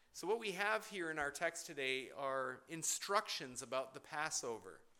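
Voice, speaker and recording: With a bright, sharp tone, a man speaks fairly slowly at a fairly high pitch. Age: 40s. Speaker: pastor. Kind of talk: sermon. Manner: halting.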